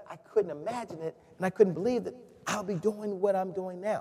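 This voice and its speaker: A man speaks at a high pitch and a fairly quick pace. Noticeable background noise can be heard. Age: 40s. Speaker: sales trainer. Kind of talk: webinar presentation.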